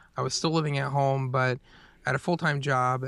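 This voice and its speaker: A man with an American accent and a bright, sharp tone, in a very clean recording with a silent background. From US Southeast. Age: 30s. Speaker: podcaster and former web designer. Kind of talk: interview.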